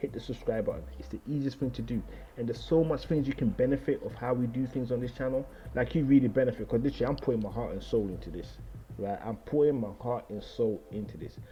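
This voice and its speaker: A man speaks at a very fast pace. He has a London accent. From London, England. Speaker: trading analysis YouTuber. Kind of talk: casual video outro to viewers. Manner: casual, rambling with fillers.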